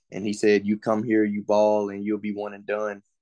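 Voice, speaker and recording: In an East Texas accent, a man speaks at a fairly quick pace with a fairly low pitch and a dark, mellow tone. The sound is dry and close with no echo, over a quiet background. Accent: East Texas Southern US. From East Texas (Longview, Henderson). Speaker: college football player. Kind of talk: interview.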